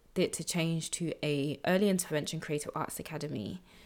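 A woman with a London accent talks at a moderate pace and a fairly low pitch. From South London, England. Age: 20s. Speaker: podcast host and social entrepreneur. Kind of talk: personal storytelling monologue.

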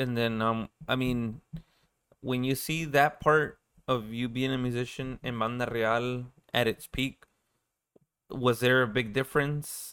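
Speaking at a fairly slow pace, a man uses a medium-pitched voice. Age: 30s. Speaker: podcast host. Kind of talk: casual chat.

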